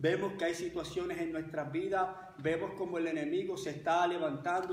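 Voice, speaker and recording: Over noticeable background noise, a man speaks in a high pitch with fairly even intonation. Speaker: pastor. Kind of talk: sermon.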